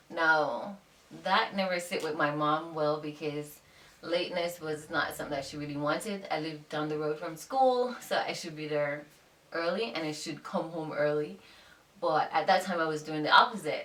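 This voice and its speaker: The woman's voice is very deep and low. Audible room echo surrounds it. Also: ordinary pitch variation, moderate pace. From Jamaica. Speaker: YouTuber, fashion blogger and teacher. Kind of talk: casual chat.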